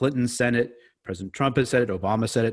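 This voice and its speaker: In a very clean recording with a silent background, a man with an American accent talks fairly quickly at medium pitch with ordinary pitch variation. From US Northeast, New York City. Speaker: historian and author. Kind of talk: interview.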